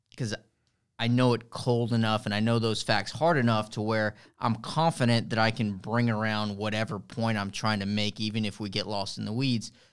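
This man has an ordinary speaking voice, a medium pitch and fairly even intonation at a moderate pace. The recording is very clean, with a silent background. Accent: American. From Texas, Rio Grande Valley (Harlingen). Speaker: lawyer. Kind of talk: interview conversation.

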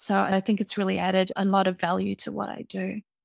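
On a very clean recording with a silent background and a dry, close sound with no echo, a woman speaks at medium pitch in a New Zealand accent. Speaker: impact investor and entrepreneur. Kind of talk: interview.

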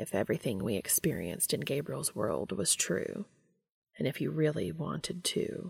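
A woman uses a put-on character voice, low-pitched with a husky, rough edge and vocal fry, moving at a fairly slow pace with big pitch swings.

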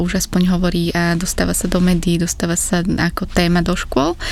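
Over noticeable background noise, a woman talks at a fairly quick pace with fairly low pitch. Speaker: climate activist. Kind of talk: interview.

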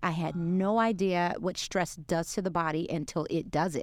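A woman talks with an American accent. The recording is very clean, with a silent background. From Brooklyn, New York. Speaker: realtor and business coach. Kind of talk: podcast interview.

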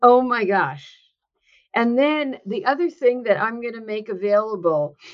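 A woman with a New Jersey accent. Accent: New Jersey American. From New Jersey, US. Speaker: author and workplace consultant. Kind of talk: interview.

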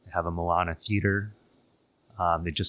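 A man's very deep, low pitch with a bright, sharp tone and fairly even intonation, in a very clean recording with a silent background. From Canada, Toronto. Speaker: theme park project manager. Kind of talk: interview.

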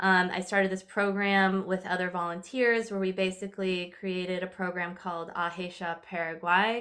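The woman's bright, sharp tone sits at a medium pitch, with monotone, flat intonation and a moderate pace. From California. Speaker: artist and spiritual teacher. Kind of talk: casual interview chat.

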